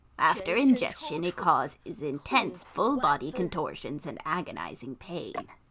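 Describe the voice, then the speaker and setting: This woman performs a put-on character voice at a moderate pace. Her pitch swings are very wide. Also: fairly low pitch for a woman. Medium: game stream. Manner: polite, modest.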